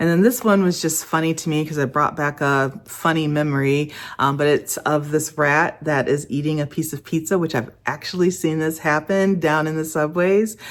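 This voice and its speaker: A woman's very deep, low voice at a moderate pace, fairly even in intonation, with hardly any pauses, on a very clean recording with a silent background. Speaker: lifestyle vlogger. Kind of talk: casual vlog talk to camera.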